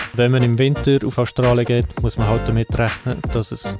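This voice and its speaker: A man's voice with a Swiss accent, music in the background. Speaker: videographer, filmmaker. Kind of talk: casual vlog narration, year-in-review.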